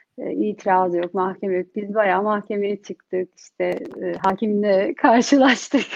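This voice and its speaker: A woman has an unremarkable speaking voice at a medium pitch. Her pace is moderate, with ordinary pitch variation. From Turkey (Bursa). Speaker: entrepreneur, community group founder. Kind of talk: interview. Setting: online livestream.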